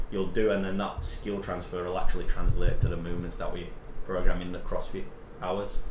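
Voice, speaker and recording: This man talks at a fairly quick clip, his loudness swinging widely. Room echo is audible. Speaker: strength and conditioning coach. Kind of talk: casual chat.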